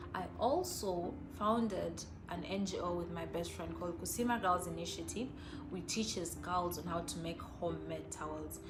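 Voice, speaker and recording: Moderate-paced speech from a woman amid noticeable background noise and audible room echo. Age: 20s. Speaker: NGO fellow. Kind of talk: personal testimony.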